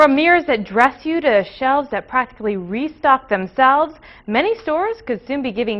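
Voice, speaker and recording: A woman with a normal speaking voice talks at a fairly quick pace with lively intonation. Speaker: TV news anchor and reporter. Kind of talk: TV news anchor read.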